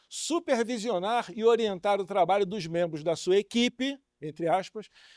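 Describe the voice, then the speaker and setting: A man with a high-pitched voice speaks with lively intonation on a very clean recording with a silent background. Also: dry, close sound with no echo. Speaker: welding training speaker. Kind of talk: lecture. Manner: fast.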